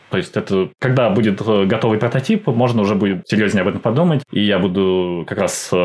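A fairly low-pitched male voice over noticeable background noise. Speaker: animator and creative producer. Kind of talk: podcast interview.

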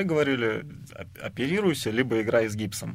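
A plain, everyday voice from a man, medium in pitch, with a fairly quick pace and ordinary pitch variation. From Samara, Russia. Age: 30s. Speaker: professional ice hockey player. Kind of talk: radio interview.

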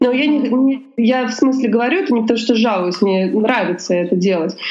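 The woman's voice is fairly high, with lively intonation at a moderate pace. Noticeable background noise and audible room echo are present. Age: 20s. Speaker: lawyer. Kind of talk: interview.

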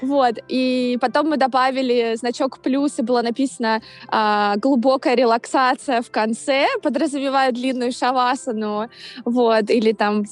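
A woman's high-pitched voice at a moderate pace. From Russia, Saint Petersburg. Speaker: yoga teacher. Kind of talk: casual interview. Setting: video call.

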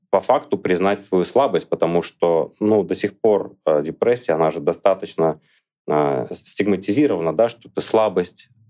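This man's voice sits fairly low, with a dark, mellow tone. His intonation is lively and his pace moderate. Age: 30s. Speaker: blogger and lecturer. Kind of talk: podcast interview.

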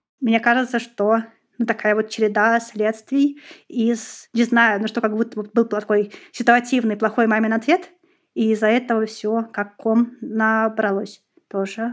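In a very clean recording with a silent background, a woman talks at a fairly slow pace with a fairly high pitch and monotone, flat intonation. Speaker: special education teacher. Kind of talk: personal testimony.

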